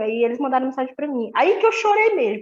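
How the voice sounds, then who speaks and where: A woman with a high pitch, talking at a very fast pace. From Manaus, Amazonas, Brazil. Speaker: gospel singer and mother of twins. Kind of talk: podcast interview, personal testimony.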